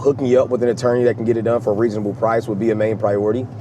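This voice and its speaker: A man with an American accent at a very fast pace, over noticeable background noise. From Oklahoma. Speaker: real estate investor. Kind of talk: sales negotiation call.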